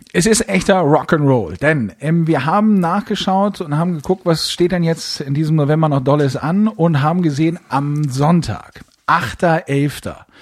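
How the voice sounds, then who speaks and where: Speech with hardly any pauses and ordinary pitch variation, over noticeable background noise. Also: man, fairly high pitch for a man, fairly slow pace. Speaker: podcast co-host. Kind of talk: casual chat. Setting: recording from home, remote. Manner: calm, composed.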